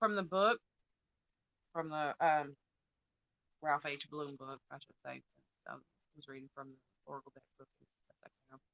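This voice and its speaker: Her voice sits at a very deep, low pitch, with ordinary pitch variation and big swings in loudness. This woman keeps a moderate pace broken by long, frequent pauses. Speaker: tarot and rune reader. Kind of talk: spiritual reading with live chat. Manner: soft-spoken. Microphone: too quiet.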